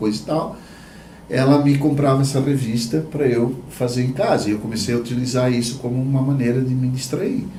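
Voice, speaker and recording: A man at medium pitch, with audible room echo. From southern Brazil, Santa Catarina (Blumenau). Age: 60s. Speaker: visual artist, podcast co-host. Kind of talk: casual chat, personal life story.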